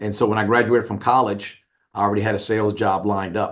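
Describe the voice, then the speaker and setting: Speaking in an American accent, a man has a fairly low pitch. He talks at a fairly quick pace against a quiet background. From New Orleans, US South. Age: 60s. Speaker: business owner and media executive. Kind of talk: interview.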